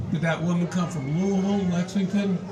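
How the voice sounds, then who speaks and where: Noticeable background noise and audible room echo surround a man with a high pitch who talks at a fairly quick pace. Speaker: lawyer and congressional candidate. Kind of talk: stump speech.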